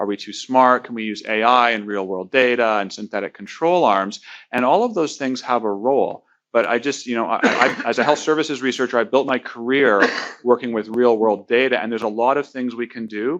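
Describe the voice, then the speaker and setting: A man with a Canadian accent speaks fairly quickly at a medium pitch in a normal speaking voice. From Canada. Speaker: health services researcher. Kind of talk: panel discussion.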